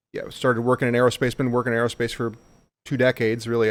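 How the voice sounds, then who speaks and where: A man's very fast, monotone, flat delivery at medium pitch, with a Midwestern American accent, on a very clean recording with a silent background. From Missouri, St. Louis. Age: 40s. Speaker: leadership school instructor and aerospace engineer. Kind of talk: casual interview chat.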